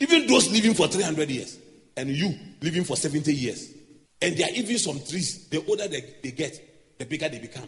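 This speaker has an unremarkable speaking voice and talks at a moderate pace. The intonation is lively, and the loudness swings widely. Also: man, fairly high pitch for a man. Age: 40s. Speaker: pastor. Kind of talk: sermon.

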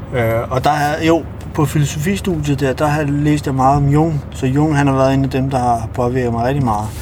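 A man talks at a moderate pace with fairly even intonation, a fairly high pitch, and very even loudness. Noticeable background noise and audible room echo surround his voice. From Kosovo, grew up in Denmark from early childhood. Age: 30s. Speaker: taxi driver. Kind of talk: casual interview. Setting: in a taxi. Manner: hesitant, many fillers.

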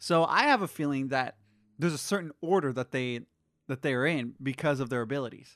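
Speaking at a fairly quick pace, a man with an unremarkable speaking voice and medium pitch shows ordinary pitch variation, recorded with a dry, close sound with no echo against a quiet background. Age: 20s. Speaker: podcast co-host. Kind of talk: casual chat.

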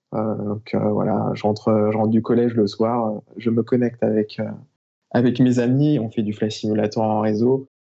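A man speaks at a fairly low pitch and a fairly slow pace. His intonation stays monotone and flat. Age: 30s. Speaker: airline-style professional pilot and mountain flyer. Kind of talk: casual interview.

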